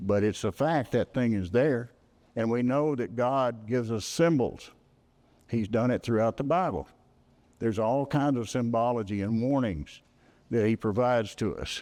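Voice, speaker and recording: A man with a Texas accent, at a moderate pace against a quiet background. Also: medium pitch for a man, ordinary pitch variation. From Texas, Hill County. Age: 80s+. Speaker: retired space engineer. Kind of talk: public talk.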